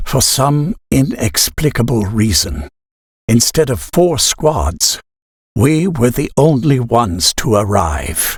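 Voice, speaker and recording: A man's medium-pitched voice with vocal fry, very wide pitch swings and a very slow pace. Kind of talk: dramatic reading of diary entries.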